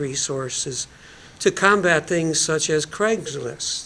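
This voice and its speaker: A man with a high pitch speaks at a fairly slow pace with ordinary pitch variation over noticeable background noise. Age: 70s. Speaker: panelist. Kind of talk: panel discussion.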